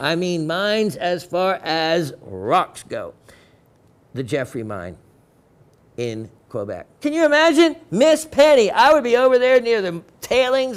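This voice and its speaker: A man's animated voice with an American accent and very wide pitch swings. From Florida. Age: 60s. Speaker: TV shopping host. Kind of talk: sales pitch.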